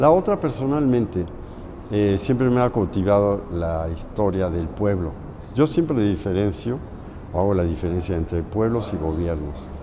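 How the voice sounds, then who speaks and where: This man has a fairly low pitch and lively intonation. He speaks at a moderate pace, and room echo is audible. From Mexico. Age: 70s. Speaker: muralist painter. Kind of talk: interview.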